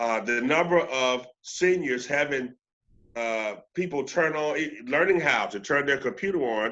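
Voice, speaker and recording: This man has a fairly high pitch. He talks at a fairly slow pace with ordinary pitch variation. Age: 60s. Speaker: juvenile court official. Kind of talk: interview. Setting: video call. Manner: animated, with frequent repetitions.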